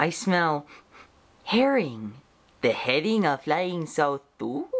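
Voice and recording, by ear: Slowly, a woman performs a cartoonish character voice. It sits low in pitch, with big pitch swings.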